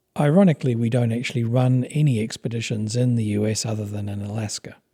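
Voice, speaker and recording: A man at medium pitch, fairly quick, with a dark, mellow, somewhat breathy tone and fairly even intonation. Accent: New Zealand. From New Zealand, with Papua New Guinea childhood. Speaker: expedition company founder. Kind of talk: interview.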